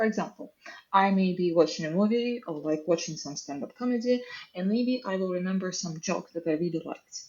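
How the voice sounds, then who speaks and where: Here a woman speaks at medium pitch with lively intonation. Her pace is fairly quick. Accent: Russian. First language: Russian. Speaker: software engineer. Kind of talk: casual chat. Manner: animated.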